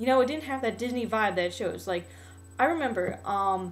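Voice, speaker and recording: Over music in the background, a woman with a fairly high pitch speaks with lively intonation. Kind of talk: casual talk to camera, video response. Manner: fast.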